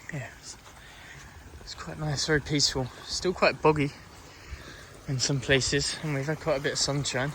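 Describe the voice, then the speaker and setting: Against noticeable background noise, a man with a fairly high pitch and a relaxed tone speaks at a moderate pace in a monotone, flat intonation, leaving long, frequent pauses. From South London. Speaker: hiking vlogger. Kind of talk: casual vlog narration while walking. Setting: outdoors on a countryside hike. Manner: relaxed, hesitant with fillers.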